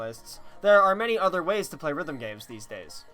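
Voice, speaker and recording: Very wide pitch swings at a fairly quick pace, with music in the background. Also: man. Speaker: gaming video creator. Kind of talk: game review voiceover.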